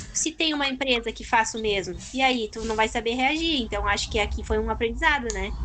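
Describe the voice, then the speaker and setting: A woman talking at a fairly quick pace with hardly any pauses, noticeable background noise behind her. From southern Brazil, Rio Grande do Sul (Turuçu). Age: 20s. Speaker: university student. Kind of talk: casual chat.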